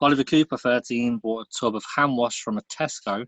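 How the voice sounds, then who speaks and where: Dry and close with no echo, the voice keeps a moderate pace and fairly even intonation. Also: man. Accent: British. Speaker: podcast co-host. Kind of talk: casual chat.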